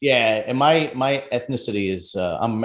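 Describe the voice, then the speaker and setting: Lively in intonation, a man speaks with a Brooklyn accent. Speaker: podcast host. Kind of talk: casual interview chat. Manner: animated.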